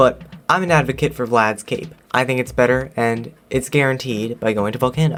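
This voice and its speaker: This is an unremarkable speaking voice, a man's voice at a medium pitch. He talks at a fairly quick pace with ordinary pitch variation. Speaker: video game reviewer. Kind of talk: game review voiceover.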